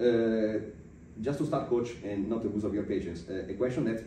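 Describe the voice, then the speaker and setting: A fairly low-pitched man at a fairly quick pace, with audible room echo. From Italy. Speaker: podcast interviewer. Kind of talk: interview. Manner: halting, many fillers.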